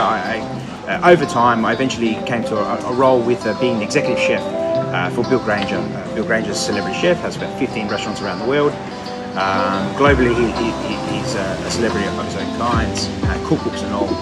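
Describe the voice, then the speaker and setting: Over loud background music, a man talks at a fairly quick pace with hardly any pauses. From Adelaide, South Australia. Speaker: chef and restaurant owner. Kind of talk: interview answer. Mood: calm, reflective. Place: cafe. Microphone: phone near.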